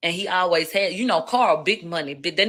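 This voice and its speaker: The speaker has a Houston accent and a bright, sharp tone. Pitch varies in an ordinary way. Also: woman. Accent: Houston twang. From Houston, Texas. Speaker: livestreamer, commentator. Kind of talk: live stream commentary. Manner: slurred speech; casual, profane.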